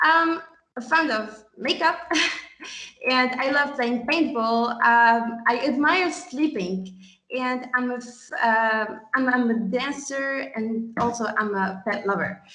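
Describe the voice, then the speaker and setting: Very slow, bright, sharp speech with ordinary pitch variation and audible room echo. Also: woman, high pitch for a woman. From Tunisia. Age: 20s. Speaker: student. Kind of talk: conference presentation.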